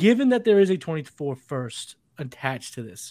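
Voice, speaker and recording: In a very clean recording with a silent background, a man with an American accent swings his pitch very widely. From Massachusetts. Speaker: fantasy football podcast host. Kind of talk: casual chat. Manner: animated.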